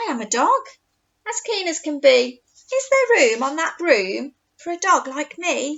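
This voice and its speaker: A woman uses a put-on character voice with extremely high pitch and very wide pitch swings. She keeps a moderate pace. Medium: read story.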